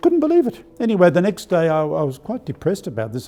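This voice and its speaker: Music plays in the background as a man talks. He has an Australian accent and a very fast pace. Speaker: archbishop. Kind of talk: spiritual talk. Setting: live stream. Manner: halting.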